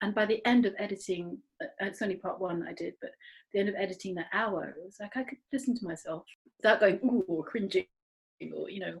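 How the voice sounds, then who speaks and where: A woman talks at a very fast pace in a somewhat breathy voice of medium pitch, with ordinary pitch variation. Her loudness swings widely. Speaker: podcast co-host. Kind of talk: casual chat. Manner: fast, excited.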